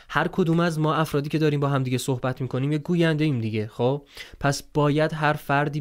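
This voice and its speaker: Against a quiet background, a man speaks very fast in a fairly high voice with fairly even intonation. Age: 20s. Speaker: voice-over artist and content creator; content creator. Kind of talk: interview. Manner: casual. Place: home room. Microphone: studio mic.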